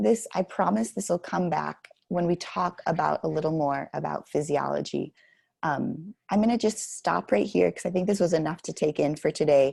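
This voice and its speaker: Her very deep, low voice has a dark, mellow tone, vocal fry and lively intonation, as this woman speaks at a moderate pace in a dry, close sound with no echo. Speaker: professor. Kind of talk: lecture. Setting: online recorded class.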